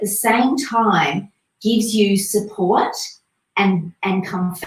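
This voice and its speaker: Very slowly, a woman talks in a medium-pitched, somewhat breathy voice whose pitch varies in an ordinary way. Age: 50s. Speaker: boutique owner presenting swimwear. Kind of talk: live product review stream. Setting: livestream. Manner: chatty, warm.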